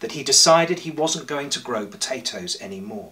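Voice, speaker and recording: Pitch swings very widely as a man speaks at a moderate pace. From England. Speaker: priest. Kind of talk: church sermon. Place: home room. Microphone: camera far.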